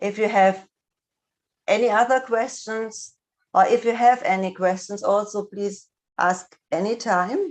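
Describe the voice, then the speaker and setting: A woman with a fairly high voice and a non-native accent speaks at a fairly slow pace. Her intonation stays fairly even, broken by long, frequent pauses. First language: not English. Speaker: speech and language therapist. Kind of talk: lecture. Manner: halting, many fillers.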